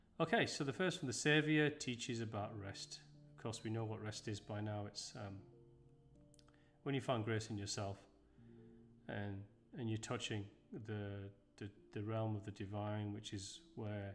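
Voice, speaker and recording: With faint music in the background, a man speaks with ordinary pitch variation and long, frequent pauses. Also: fairly low pitch for a man, moderate pace. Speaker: presenter. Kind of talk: lecture. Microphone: webcam.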